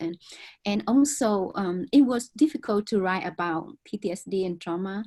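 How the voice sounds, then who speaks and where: A woman speaks with a Vietnamese accent at a medium pitch and a moderate pace. Her dark, mellow voice is somewhat breathy, with ordinary pitch variation. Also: quiet background. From southern Vietnam. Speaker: author. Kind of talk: interview conversation.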